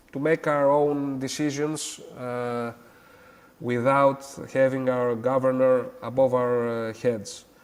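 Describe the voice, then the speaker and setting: At a very slow pace, a man with a Greek accent speaks at medium pitch in a monotone, flat intonation. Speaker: academic guest. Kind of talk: interview. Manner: halting, many hesitations.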